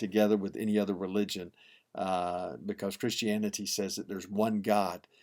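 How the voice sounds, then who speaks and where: A man with a fairly low pitch and fairly even intonation at a moderate pace, on a very clean recording with a silent background. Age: 60s. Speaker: pastor. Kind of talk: devotional teaching. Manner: hesitant, frequent fillers and repeats.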